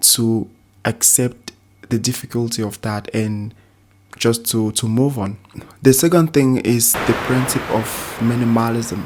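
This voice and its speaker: A man with a non-native accent talks fairly slowly in a medium pitch, keeping his intonation fairly even. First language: not English. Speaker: language learning YouTuber. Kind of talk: casual tutorial talk to camera. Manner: halting, with repetitions and fillers.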